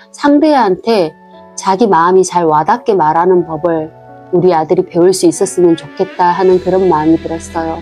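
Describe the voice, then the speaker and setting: A woman's medium-pitched voice with lively intonation, music in the background. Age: 40s. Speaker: homemaker and mother. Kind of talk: casual talk to camera. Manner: soft-spoken, reflective.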